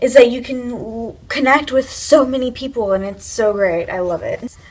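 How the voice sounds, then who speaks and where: Over noticeable background noise, a woman talks at a moderate pace with a high pitch and ordinary pitch variation. Her loudness swings widely. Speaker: YouTuber giving tips. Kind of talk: casual vlog talk to camera. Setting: home, filming with iPad camera. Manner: loud, projected voice; casual, filler-heavy.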